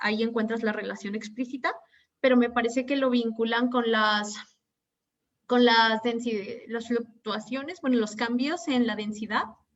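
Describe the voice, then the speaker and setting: A woman with a plain, everyday voice talks at a moderate pace, her pitch fairly high and her intonation fairly even. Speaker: physics graduate student. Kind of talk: academic Q&A. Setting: video call.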